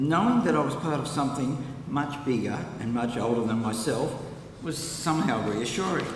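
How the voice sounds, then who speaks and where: A man with an Australian accent speaks at a moderate pace in a fairly high pitch with ordinary pitch variation. Audible room echo and noticeable background noise fill the recording. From Australia, Newcastle NSW. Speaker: congregation member. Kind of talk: personal testimony speech. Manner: prepared, read from notes.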